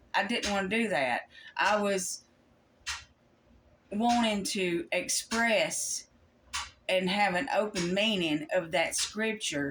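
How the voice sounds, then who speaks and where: A woman speaks very slowly at a medium pitch, with long, frequent pauses. Her intonation is lively. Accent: Kentucky. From Kentucky, US. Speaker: Bible study YouTuber. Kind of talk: Bible study talk. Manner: halting, with many fillers.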